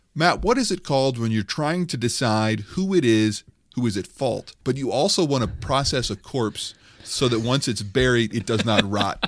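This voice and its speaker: The man has an ordinary speaking voice at a medium pitch, with lively intonation and a moderate pace. The recording is very clean with a silent background. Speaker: podcast host. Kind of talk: casual comedic banter, parody review of another podcast.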